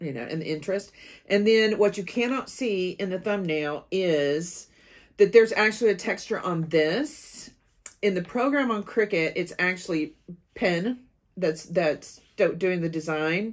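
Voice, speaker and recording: Against a quiet background, a woman talks at a fairly slow pace with lively intonation. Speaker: craft channel host. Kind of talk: tutorial. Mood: cheerful, enthusiastic. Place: home room.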